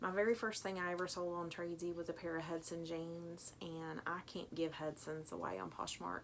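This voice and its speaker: A woman with a Tennessee accent speaks at a fairly quick pace with a fairly low pitch. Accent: Tennessee twang. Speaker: online clothing reseller. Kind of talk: unboxing video commentary.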